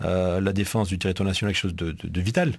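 Speaking very fast, a man uses a fairly low pitch. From Marseille, southern France. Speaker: military delegate, army officer; guest. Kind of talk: casual interview in radio studio. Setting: radio studio. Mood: serious, earnest. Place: studio. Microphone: studio mic.

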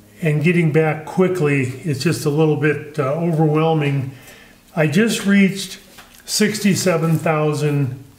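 The speech is very slow and very even in loudness, with ordinary pitch variation and audible room echo. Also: man. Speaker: woodturning channel host. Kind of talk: casual vlog chat. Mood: friendly, a bit chuckling. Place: workshop.

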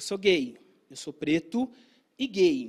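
In a quiet background, a man speaks in an animated tone. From Brazil. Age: 30s. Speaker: filmmaker and content creator; content creator. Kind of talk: talk to an audience. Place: stage. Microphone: handheld.

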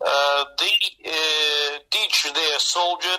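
This man talks very slowly in a Russian accent, his pitch fairly high. His intonation stays fairly even. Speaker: trade union official. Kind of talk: interview answer. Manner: hesitant, halting, many filler pauses.

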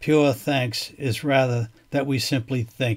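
Somewhat breathy, a man talks at a very slow pace. His medium pitch shows ordinary variation. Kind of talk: poem reading. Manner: measured, contemplative, deliberate pacing.

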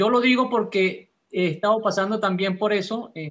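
Moderate pace and ordinary pitch variation from a male speaker. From Peru, Lima; Peru. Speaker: class participant. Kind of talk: class discussion. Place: home room. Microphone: video call.

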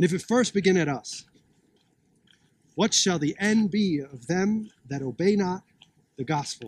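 A man with a high pitch and lively intonation talks at a fairly slow pace, with long, frequent pauses and a dry sound with no echo. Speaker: street preacher. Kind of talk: street sermon, preaching. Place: open country. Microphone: phone near.

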